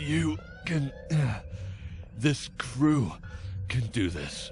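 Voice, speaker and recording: A man performs a put-on character voice at medium pitch, swinging it very widely. Music plays clearly in the background. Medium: audio drama. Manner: hesitant, full of filler words.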